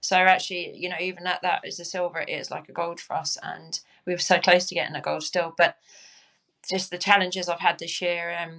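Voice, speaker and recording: A woman with a southern English accent talks at a fairly quick pace in a fairly low pitch, her bright, sharp tone flat and monotone, with big swings in loudness. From southern England, Crawley. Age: 40s. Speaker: Paralympic cyclist. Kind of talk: interview. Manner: halting.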